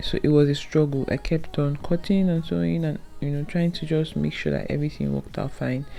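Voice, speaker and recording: Over music in the background, a speaker with a non-native accent talks at a fairly quick pace. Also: woman, hardly any pauses. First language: not English. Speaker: sewing tutorial creator. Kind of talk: tutorial. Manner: casual, conversational.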